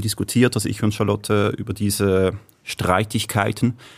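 A man speaks at a moderate pace. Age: 30s. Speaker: guest, new father. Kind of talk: casual chat. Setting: studio. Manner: hesitant, many fillers.

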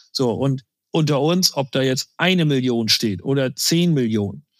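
A man with a plain, everyday voice speaks with ordinary pitch variation in a dry, close sound with no echo. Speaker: insurance sales executive. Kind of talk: interview. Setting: remote call.

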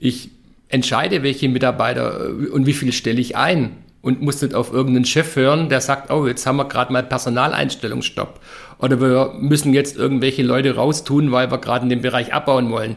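Speaking at a fairly quick pace, a man with a medium pitch shows vocal fry while his loudness stays very even. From Stuttgart, Swabia, Germany. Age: 50s. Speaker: business consultant and professor. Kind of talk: podcast interview. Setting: office in Nuremberg. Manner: energetic.

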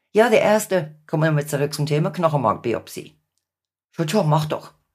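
In a very clean recording with a silent background, a woman speaks with a very deep, low pitch and a somewhat breathy quality. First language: English (speaking German). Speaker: patient and support group volunteer. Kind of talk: podcast interview.

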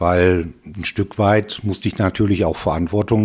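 In a plain, everyday voice, a man speaks at a moderate pace with fairly low pitch. His intonation stays fairly even. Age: 60s. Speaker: retired father, interview guest. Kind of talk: casual interview.

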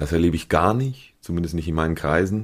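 With ordinary pitch variation, a man with a very deep, low pitch speaks on a very clean recording with a silent background. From Switzerland, Appenzell. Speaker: stage actor. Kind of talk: casual interview.

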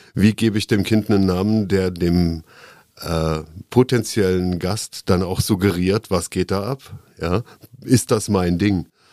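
A man's very deep, low voice at a fairly slow pace, with fairly even intonation and a dry, close sound with no echo. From Koblenz, Germany. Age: 50s. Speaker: former bar owner, city nightlife commissioner. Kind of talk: casual interview.

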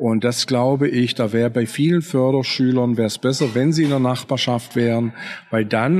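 At a moderate speed, a man talks in an unremarkable speaking voice. His intonation stays fairly even at a medium pitch. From Swabia, southern Germany. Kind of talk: interview conversation. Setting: café at a train station.

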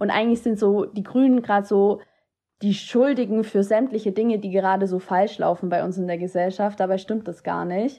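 A woman speaks at a medium pitch and a fairly quick pace, her intonation fairly even. Her tone is dark and mellow against a quiet background. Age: 20s. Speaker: student teacher and political candidate. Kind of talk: interview.

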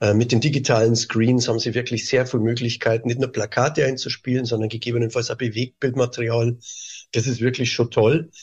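Somewhat breathy, a man speaks at a fairly quick pace with monotone, flat intonation. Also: medium pitch for a man. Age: 50s. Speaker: tourism board director. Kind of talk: interview.

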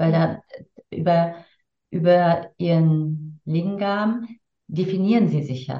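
Speaking very slowly with long, frequent pauses, a woman has a fairly low, somewhat breathy voice. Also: ordinary pitch variation. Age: 50s. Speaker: tantra teacher and coach. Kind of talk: casual interview.

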